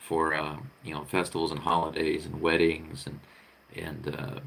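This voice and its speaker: Audible room echo surrounds this man's voice. He talks at a moderate pace with a very deep, low pitch. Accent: American. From United States. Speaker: vlogger. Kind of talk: casual live-stream monologue. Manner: halting, many fillers and repetitions.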